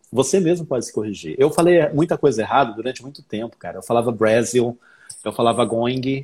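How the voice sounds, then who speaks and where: A man with an unremarkable speaking voice, medium pitch and ordinary pitch variation. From southern and northern Brazil (Paraná, Rondônia). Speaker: English teacher and author. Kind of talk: casual chat.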